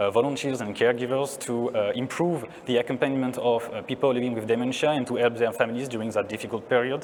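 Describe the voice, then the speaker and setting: A man talks at a very fast pace with a French accent and a medium pitch. Noticeable background noise is present. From France. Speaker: neuroscientist. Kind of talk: conference talk.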